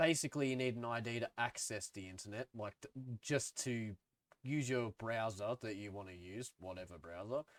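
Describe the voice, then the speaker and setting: A man with an Australian accent, medium pitch and ordinary pitch variation, at a moderate pace, in a dry, close sound with no echo. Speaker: music YouTuber. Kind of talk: casual opinion vlog. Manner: casual, filler-heavy.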